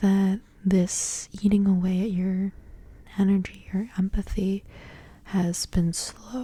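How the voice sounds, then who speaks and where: This soft-spoken voice has a gentle tone and moves at a very slow pace. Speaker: ASMR content creator and tarot reader. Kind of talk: ASMR tarot reading, soft-spoken. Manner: soft-spoken, gentle, relaxing.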